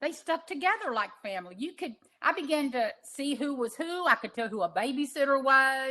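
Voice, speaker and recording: The voice comes across raised and projected. Its tone is bright and sharp. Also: woman. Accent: American. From Texas. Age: 60s. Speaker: animal sanctuary founder, former cattle rancher. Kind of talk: prepared talk / personal testimony.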